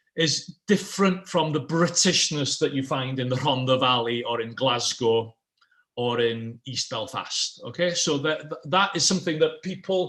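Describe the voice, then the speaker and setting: Speaking with a Welsh accent, a man uses lively intonation, a fairly high pitch and a moderate pace. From Wales. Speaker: political scientist. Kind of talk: online panel presentation. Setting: online event.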